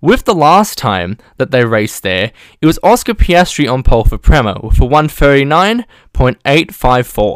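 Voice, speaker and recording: Moderate pace from a man with a fairly high voice and very wide pitch swings, in a dry, close sound with no echo. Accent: Australian. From Australia. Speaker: podcast host. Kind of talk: scripted preview narration.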